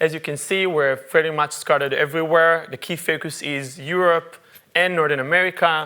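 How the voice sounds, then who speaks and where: A man in an Israeli accent with a fairly high pitch, a monotone, flat intonation and a fairly quick pace. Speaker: UX researcher. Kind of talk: conference talk. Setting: stage with audience. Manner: halting, many fillers.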